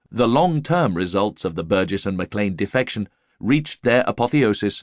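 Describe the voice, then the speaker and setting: A man with a normal speaking voice and a fairly low pitch talks at a moderate pace. The background is quiet, and the sound is dry and close with no echo. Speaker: audiobook narrator. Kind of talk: audiobook narration of nonfiction, read aloud. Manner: formal, measured, even-paced.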